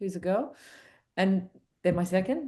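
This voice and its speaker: The voice belongs to a woman with an Australian accent. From suburban Australia. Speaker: commercial film director. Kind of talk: casual interview chat.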